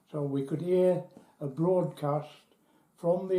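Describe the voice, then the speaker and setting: The speaker, with an English accent and a dark, mellow tone, talks at a fairly slow pace with fairly even intonation. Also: man. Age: 80s+. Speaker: British nuclear test veteran. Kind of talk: testimony. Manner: halting.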